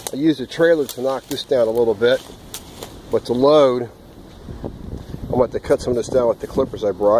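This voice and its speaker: The sound is dry with no echo, with light background noise. A man talks at a fairly quick pace with ordinary pitch variation. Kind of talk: casual vlog chat. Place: open country. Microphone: phone near.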